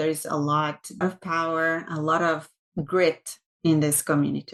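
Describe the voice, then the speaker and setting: A woman speaks with a Brazilian Portuguese accent. Her voice sits at a fairly low pitch. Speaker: tech executive. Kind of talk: interview.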